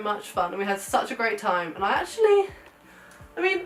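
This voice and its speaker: A woman's medium-pitched voice comes through with music playing behind it. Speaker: photographer and lifestyle vlogger. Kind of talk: casual vlog. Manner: animated.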